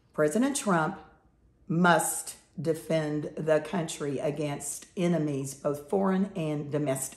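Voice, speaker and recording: A woman speaks very slowly with an American accent, her pitch very deep and low with ordinary variation. Audible room echo surrounds her voice. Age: 70s. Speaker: political commentator. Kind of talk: opinion monologue.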